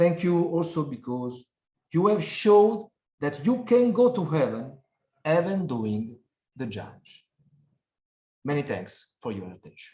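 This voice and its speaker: Speaking with an Italian accent at a fairly slow pace, a man with a fairly high-pitched, dark, mellow voice uses very wide pitch swings and big swings in loudness, with long, frequent pauses. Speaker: prosecutor. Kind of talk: conference talk. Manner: formal.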